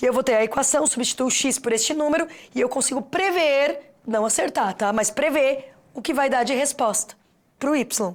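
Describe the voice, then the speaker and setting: With an animated tone, a woman talks at a high pitch and ordinary pitch variation. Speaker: teacher. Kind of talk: lecture. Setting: studio. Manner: fast.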